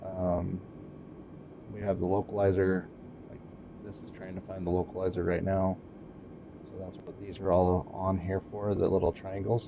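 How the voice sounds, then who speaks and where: A man speaks at a fairly slow pace with a very deep, low pitch. Noticeable background noise runs underneath. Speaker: flight sim streamer. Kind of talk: live gameplay commentary. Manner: casual, hesitant with fillers.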